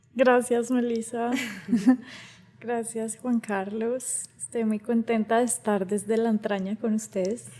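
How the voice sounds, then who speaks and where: Spoken at a very slow pace in a flat monotone, with noticeable background noise. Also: woman, fairly high pitch for a woman. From Colombia, Cali area. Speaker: singer and voice artist. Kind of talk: interview conversation.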